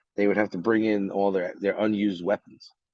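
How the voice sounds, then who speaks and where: With a New York accent, a man talks at a fairly low pitch. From New York City, Brooklyn. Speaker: army veteran. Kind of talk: interview. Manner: halting.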